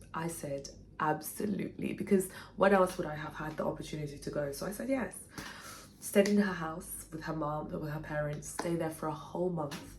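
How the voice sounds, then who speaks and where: In a room with audible echo, a woman with a very deep, low pitch talks at a moderate pace with ordinary pitch variation. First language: Portuguese. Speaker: writer and former actor. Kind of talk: personal storytelling vlog.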